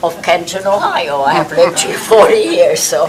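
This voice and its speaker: Someone with a non-native accent speaks at a moderate pace. Noticeable background noise and audible room echo are present. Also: woman. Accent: foreign. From outside the United States. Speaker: city council member. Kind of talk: self-introduction at council meeting.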